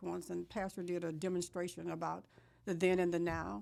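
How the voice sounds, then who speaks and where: A woman with a fairly low pitch talks at a fairly quick pace, using a normal speaking voice with ordinary pitch variation. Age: 60s. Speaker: politician. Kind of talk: interview.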